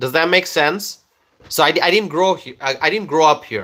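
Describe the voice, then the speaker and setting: A man talks with a Bangladeshi accent and lively intonation. His tone is bright and sharp. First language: Bengali. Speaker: political commentator. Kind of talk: live stream chat. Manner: hesitant, many fillers.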